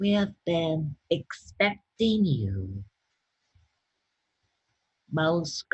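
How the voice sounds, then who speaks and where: A put-on character voice at a middle pitch swings very widely in pitch while moving at a very slow pace. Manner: solemn, formal greeting.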